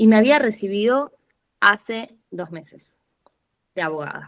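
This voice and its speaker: A woman with a Rioplatense accent, fairly high in pitch, with lively intonation. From Argentina, Buenos Aires city. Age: 20s. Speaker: podcast guest, lawyer turned traveler. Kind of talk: casual interview conversation.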